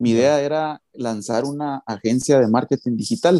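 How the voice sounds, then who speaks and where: A dark, mellow tone with ordinary pitch variation comes through on a very clean recording with a silent background, dry and close with no echo. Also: man. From Guatemala. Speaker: online marketer. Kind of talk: interview. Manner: halting.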